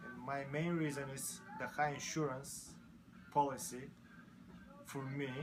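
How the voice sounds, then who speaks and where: A man with a non-native accent talks at a fairly slow pace and a fairly high pitch, his intonation fairly even, with long, frequent pauses, audible room echo and music in the background. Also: big swings in loudness. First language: not English. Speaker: motorcycle mechanic. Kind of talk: interview.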